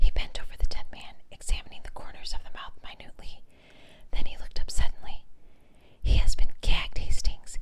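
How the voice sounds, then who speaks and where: A woman whispering at a moderate pace. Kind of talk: audiobook reading. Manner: whispered.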